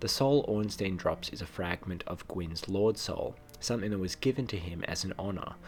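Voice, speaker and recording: With hardly any pauses, a man talks at a moderate pace in a fairly low, somewhat breathy voice with ordinary pitch variation. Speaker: video game lore creator. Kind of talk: video game lore narration.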